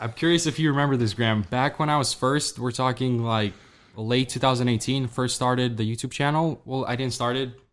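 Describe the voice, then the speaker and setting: At a fairly quick pace, a man speaks with a Russian accent. His pitch is medium and his intonation fairly even. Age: young. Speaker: e-commerce entrepreneur and YouTuber. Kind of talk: casual chat. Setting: studio.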